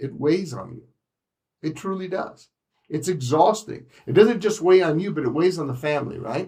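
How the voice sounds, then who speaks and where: The speaker's animated tone comes with lively intonation, big swings in loudness and a moderate pace. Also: man. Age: 60s. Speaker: insurance agent trainer. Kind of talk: training session.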